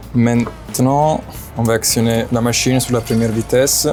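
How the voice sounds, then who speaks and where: Music plays in the background as a man with a Campanian accent talks at a fairly slow pace and medium pitch. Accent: Italian (Campanian) accent in French. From southern Italy, Caserta (Campania). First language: Italian (speaking French). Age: 20s. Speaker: chef. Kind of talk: cooking tutorial. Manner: halting, frequent hesitations.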